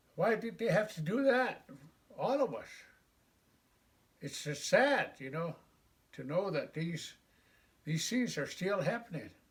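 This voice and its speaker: Speaking at a fairly slow pace with long, frequent pauses, a man uses a high pitch and very wide pitch swings. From Wind River Reservation, Wyoming. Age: 70s. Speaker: war veteran. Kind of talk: interview. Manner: halting.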